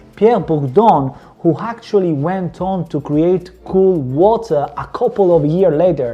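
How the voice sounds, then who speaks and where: A man with a high voice speaks very slowly with lively intonation. Noticeable background noise can be heard. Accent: Italian. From Calabria, southern Italy. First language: Italian. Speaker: fragrance reviewer. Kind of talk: product review.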